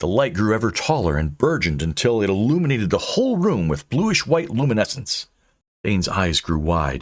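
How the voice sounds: Quiet background and a natural reading voice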